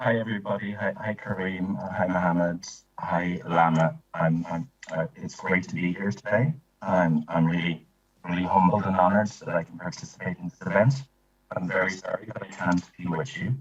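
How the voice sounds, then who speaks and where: The speaker talks at a moderate pace with ordinary pitch variation, in an Irish accent. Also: man, very deep, low pitch for a man. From Ireland. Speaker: privacy coordinator. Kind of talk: panel talk. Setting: video call. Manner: halting.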